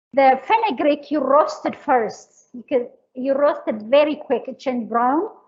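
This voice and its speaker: Speaking at a fairly slow pace, a woman with a high pitch and an Eritrean accent uses ordinary pitch variation. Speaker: cooking instructor. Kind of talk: cooking class. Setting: livestream cooking class.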